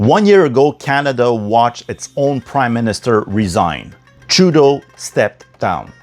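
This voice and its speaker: Music in the background behind a man's medium-pitched voice, fairly slow and lively in intonation. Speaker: political commentator. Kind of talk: podcast political commentary.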